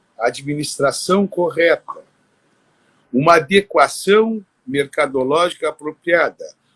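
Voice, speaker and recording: A high-pitched man speaks at a very slow pace with lively intonation. The sound is dry and close with no echo. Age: 60s. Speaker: dental prosthetics technician. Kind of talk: podcast interview. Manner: animated.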